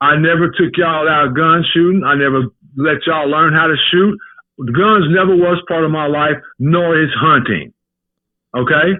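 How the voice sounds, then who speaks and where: This man has a plain, everyday voice, pitched fairly high, at a moderate pace. His loudness stays very even and his intonation fairly even. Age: 60s. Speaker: podcast guest, host's father. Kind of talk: heated debate. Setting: phone call.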